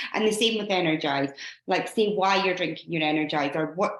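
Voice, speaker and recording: A woman speaks with a Scottish accent at a fairly quick pace. Her pitch variation is ordinary. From Scotland. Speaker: fitness coach leading a team call. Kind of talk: team training call. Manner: fast.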